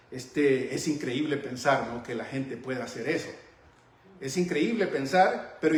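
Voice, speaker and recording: A man talks fairly slowly amid audible room echo and noticeable background noise. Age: 60s. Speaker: Bible teacher. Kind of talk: sermon-style Bible teaching.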